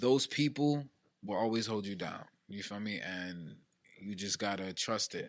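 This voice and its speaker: A fairly low-pitched man with an American accent, speaking fairly slowly with ordinary pitch variation against a quiet background. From New Jersey (Elizabeth). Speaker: hip-hop recording artist. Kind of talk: casual chat.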